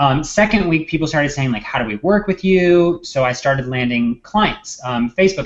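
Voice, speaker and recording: The man's intonation is lively. He speaks fairly quickly. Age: 20s. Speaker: social media marketer. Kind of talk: casual chat. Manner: loud.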